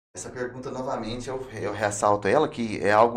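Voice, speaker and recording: Speaking at a moderate pace, a man uses a medium pitch. Room echo can be heard. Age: 30s. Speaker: testimony guest, former prisoner turned preacher. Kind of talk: testimony. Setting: podcast.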